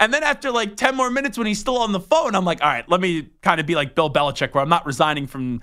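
On a very clean recording with a silent background, a man projects a raised, high voice with a bright, sharp tone and very wide pitch swings, talking very fast with hardly any pauses. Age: 20s. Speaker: sports radio host. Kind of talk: casual chat.

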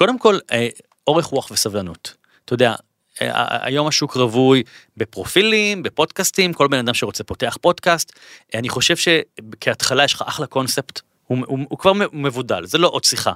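A man with a fairly high, bright, sharp voice talks at a moderate pace, his pitch swinging very widely, the sound dry and close with no echo. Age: 40s. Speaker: author and lecturer. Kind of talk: interview. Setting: studio. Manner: halting.

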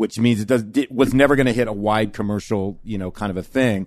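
Against a quiet background, a man with a normal speaking voice talks at medium pitch with fairly even intonation, the sound dry and close with no echo. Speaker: musician and podcast co-host. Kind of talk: casual chat. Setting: studio.

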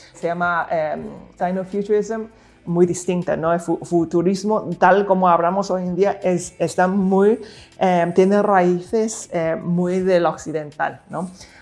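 A woman at a medium pitch, very slow in pace, with monotone, flat intonation over music in the background. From Hong Kong and Macau. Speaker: futurist and entrepreneur. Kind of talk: interview. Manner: halting, with many fillers and repetitions.

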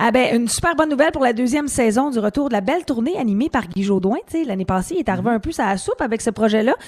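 A woman races along at a very fast pace, her fairly high voice full of lively intonation. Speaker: radio host. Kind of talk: casual chat.

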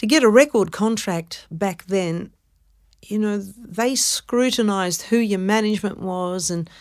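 A woman speaks with an Australian accent. The recording is very clean, and the background is silent. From Melbourne, Australia. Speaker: actress and singer. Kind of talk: interview. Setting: studio.

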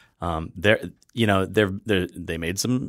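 In a very clean recording with a silent background, a man speaks with a Wisconsin accent. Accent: Upper Midwest (Wisconsin) American. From US Midwest, Wisconsin (Fox River Valley). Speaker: restaurant critic and beer writer. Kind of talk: casual chat. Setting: studio.

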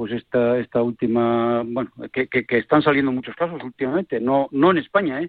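Speaking at a moderate pace, a man with a plain, everyday voice uses a medium pitch and ordinary pitch variation. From Asturias, Spain (Villaviciosa). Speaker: sports medicine doctor. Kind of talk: radio panel discussion. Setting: phone call.

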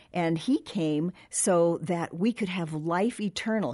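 Against a quiet background, a woman with a fairly low pitch and a dark, mellow tone speaks somewhat breathily with lively intonation. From Southern California. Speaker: podcast co-host. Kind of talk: casual chat. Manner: energetic, enthusiastic.

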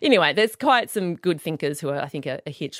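A woman with an Australian accent speaks at a fairly low pitch with lively intonation. The recording is very clean, with a silent background and a dry, close sound with no echo. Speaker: author and podcaster. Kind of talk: interview conversation.

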